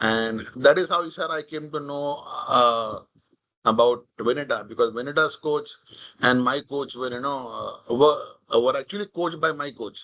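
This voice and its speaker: With a Marathi accent, a man speaks at a moderate pace in a bright, sharp tone. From India, Mumbai (Maharashtra). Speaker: corporate leader, invited speaker. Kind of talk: talk at a leadership event. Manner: casual, code-switching Hindi and English.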